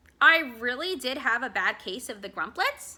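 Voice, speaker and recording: A woman uses a put-on character voice, high-pitched and at a moderate pace. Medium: read story. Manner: animated.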